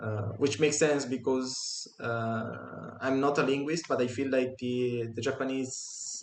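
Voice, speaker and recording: A man at medium pitch, very slow in pace, with fairly even intonation. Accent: strong Italian. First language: Italian. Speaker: podcast co-host. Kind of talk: casual chat.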